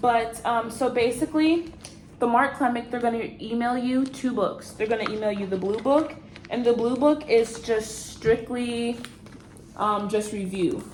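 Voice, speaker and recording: A woman's fairly high voice, with ordinary pitch variation, moves at a fairly slow pace amid noticeable background noise. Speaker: new nurse vlogger. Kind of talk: casual vlog talk.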